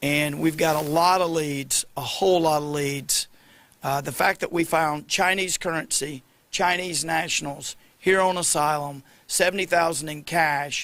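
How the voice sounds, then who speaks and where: Recorded very cleanly against a silent background, the speaker has a Southern accent, a bright, sharp tone, fairly even intonation and a fairly slow pace. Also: man, fairly high pitch for a man. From US South, Arkansas. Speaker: state attorney general. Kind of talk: press conference. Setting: news conference.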